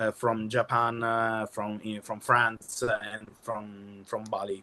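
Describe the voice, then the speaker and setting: A man with an Italian accent speaks at a very slow pace. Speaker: kamishibai performer. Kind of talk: workshop presentation. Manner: halting.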